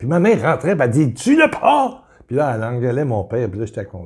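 A man's somewhat breathy voice with an animated tone. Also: quiet background. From Quebec. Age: 70s. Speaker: preacher; religious teacher. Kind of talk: video sermon. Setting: home kitchen. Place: home room. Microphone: webcam.

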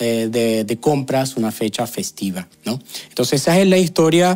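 A man speaks at a medium pitch in a dark, mellow tone, his pitch swinging very widely. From Venezuela. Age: 30s. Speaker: YouTuber, sociologist; vlogger. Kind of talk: video commentary. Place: home room. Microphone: lapel.

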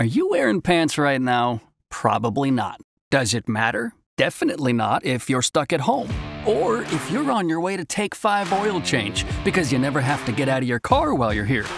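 Clear music plays in the background. A man speaks in a dry sound with no echo. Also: moderate pace. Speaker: voice actor. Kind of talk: TV commercial read. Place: booth.

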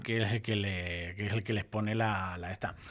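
A man's bright, sharp tone stands out over a quiet background. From Ciudad Real province, Spain; Spain. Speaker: furniture and mattress shop manager; mattress seller. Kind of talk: radio interview. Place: studio. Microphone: studio mic.

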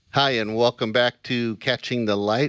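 A man talks at a fairly slow pace. The sound is dry with no echo, and the background is quiet. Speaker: Bible study show host. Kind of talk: casual Bible study discussion. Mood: warm, earnest. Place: studio. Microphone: studio mic.

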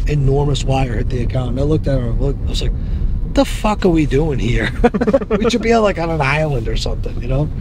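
A man talks at a very fast pace with lively intonation. The sound is dry with no echo, and there is noticeable background noise. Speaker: interviewee. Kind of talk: interview answer. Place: car.

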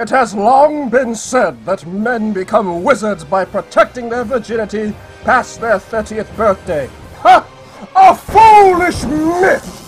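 Over clear background music, a put-on character voice talks at a fairly slow pace with a fairly high pitch. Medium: dub.

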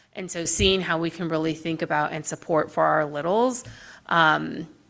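A woman with vocal fry speaks at a fairly low pitch with ordinary pitch variation, recorded very cleanly against a silent background. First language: Spanish. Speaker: board commissioner. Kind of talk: public meeting discussion.

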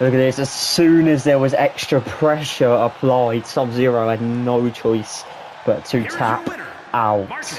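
Noticeable background noise surrounds a man speaking at a fairly slow pace. His pitch is medium and his intonation fairly even. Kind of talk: live sports commentary.

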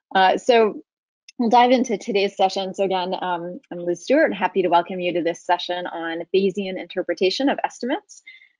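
Against a quiet background, a woman with a medium-pitched voice talks at a fairly quick pace with ordinary pitch variation, in a dry sound with no echo. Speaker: webinar moderator. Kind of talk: webinar introduction and moderation. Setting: video call. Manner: halting, many fillers. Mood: friendly, welcoming. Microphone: webcam.

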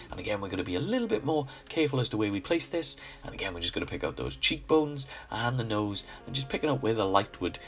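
A man at a very fast pace, very wide pitch swings, music in the background. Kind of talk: painting tutorial voice-over. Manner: casual, friendly.

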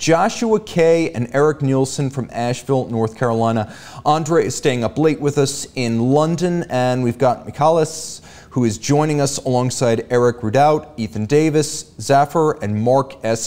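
A man talks at a fairly slow pace in a dark, mellow tone. His pitch varies in an ordinary way. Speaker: show host. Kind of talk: live show hosting, greeting viewers. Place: studio. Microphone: studio mic.

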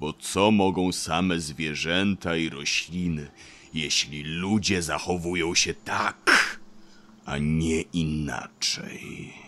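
A man puts on a gruff character voice with a very deep, low pitch. He speaks very slowly. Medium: audio drama. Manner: very slow, measured; gruff, reserved.

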